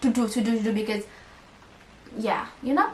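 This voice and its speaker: A woman speaks with a high pitch. Noticeable background noise runs behind her. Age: 20s. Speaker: lifestyle vlogger. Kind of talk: casual vlog monologue. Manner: fast; stutters when fast.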